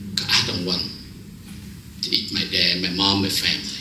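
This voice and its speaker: A Vietnamese accent amid noticeable background noise and audible room echo. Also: man. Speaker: preacher. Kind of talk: sermon.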